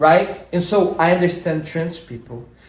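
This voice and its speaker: A man with a Brazilian accent amid audible room echo and noticeable background noise. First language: Portuguese. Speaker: podcast co-host and musician. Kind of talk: casual chat. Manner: animated.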